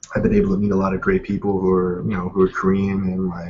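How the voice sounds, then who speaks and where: A man speaks at a very fast pace with an American accent. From Pennsylvania, US. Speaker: guest interviewee. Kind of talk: casual chat. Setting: video call. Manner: casual, many fillers.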